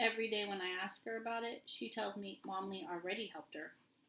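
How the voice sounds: What comes through is a natural reading voice.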